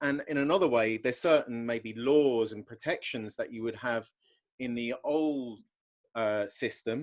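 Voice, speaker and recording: The recording is very clean and the background silent. A man talks in an English accent. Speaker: podcast host. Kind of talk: casual interview chat.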